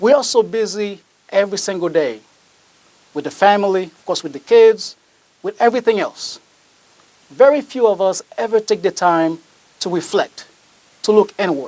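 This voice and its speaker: Pausing often and at length, a man with a non-native accent speaks at a moderate pace in a high pitch with ordinary pitch variation. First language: not English. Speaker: motivational speaker. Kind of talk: motivational speech.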